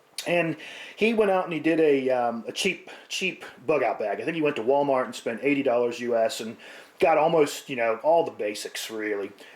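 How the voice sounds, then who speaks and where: A man with an American accent speaks at a fairly quick pace in a fairly high pitch, his pitch rising and falling in an ordinary way over noticeable background noise. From United States. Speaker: prepping vlogger. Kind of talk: casual vlog talk. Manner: hesitant, many fillers.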